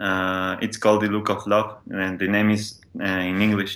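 Here is a man with a Spanish accent and a bright, sharp tone. The recording is very clean, with a silent background. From Mexico City. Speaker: podcast listener guest. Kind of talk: casual chat.

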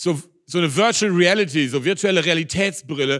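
Animated and bright, a man's high, sharp-toned voice shows ordinary pitch variation on a very clean recording with a silent background. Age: 50s. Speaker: pastor. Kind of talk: sermon.

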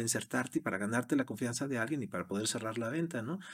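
A man speaks at a very fast pace with lively intonation, recorded very cleanly against a silent background. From Mexico City area. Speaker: sales executive. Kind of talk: interview. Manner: hesitant with repetitions.

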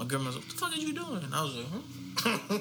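Very fast speech is heard through audible room echo and noticeable background noise. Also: man. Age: 30s. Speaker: podcast co-host. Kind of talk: casual chat.

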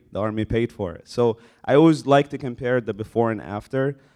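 A man speaks in an ordinary speaking voice, with medium pitch and ordinary pitch variation. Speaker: army military intelligence soldier. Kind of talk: casual panel interview. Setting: live event with audience.

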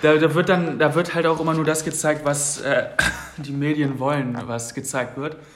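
Noticeable background noise and audible room echo surround a man's voice. He speaks fairly high at a moderate pace, with fairly even intonation. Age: 20s. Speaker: podcast co-host. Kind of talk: casual chat.

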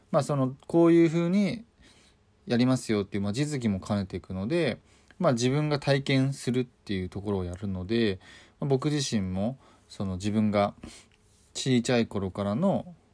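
A man speaks with lively intonation and a dark, mellow tone. The recording is very clean, with a silent background. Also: medium pitch for a man, moderate pace. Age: 30s. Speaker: hairdresser and podcast host. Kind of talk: solo monologue podcast. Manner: casual, many fillers and hesitations.

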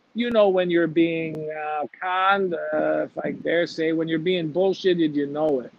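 A man with a Chicago accent speaks at a fairly slow pace with fairly even intonation and hardly any pauses. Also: fairly high pitch for a man. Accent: Chicago American English. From US Midwest, Chicago. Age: 50s. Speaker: recruitment entrepreneur. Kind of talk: interview conversation.

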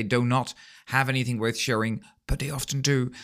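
Recorded very cleanly against a silent background, a man with a Dutch accent talks at a fairly quick pace. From Netherlands. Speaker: podcast host, teacher trainer. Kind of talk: interview conversation; scripted outro.

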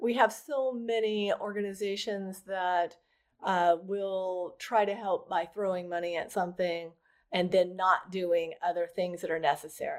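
A woman in a normal speaking voice, with an American accent and medium pitch, talks at a fairly slow pace with fairly even intonation in a very clean recording with a silent background. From rural Oklahoma. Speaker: adoption and surrogacy attorney. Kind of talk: casual interview chat.

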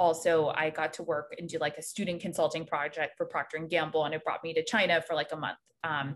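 A woman talks fairly quickly in an ordinary speaking voice that sits fairly low in pitch. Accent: American. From North Carolina, near Raleigh. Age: 30s. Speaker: private banker, army veteran. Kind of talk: casual interview.

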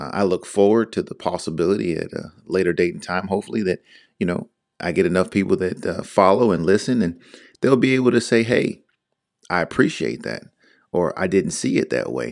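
A man with an American accent, fairly low in pitch with vocal fry, lively intonation and a fairly quick pace. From Northern Virginia, outside Washington DC. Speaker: podcast host. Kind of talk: solo monologue, reflective talk. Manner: hesitant, many fillers.

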